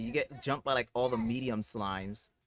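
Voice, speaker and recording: Music plays behind a man with an American accent, his voice dry and close with no echo. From US Midwest, Ohio. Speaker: gaming streamer. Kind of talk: casual livestream chat. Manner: casual, repetitive false starts.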